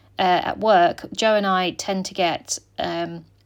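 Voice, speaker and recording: A woman speaks in a relaxed tone with fairly even intonation. The recording is very clean, with a silent background. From UK. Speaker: scrapbooking vlogger. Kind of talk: casual chat. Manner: relaxed, many fillers.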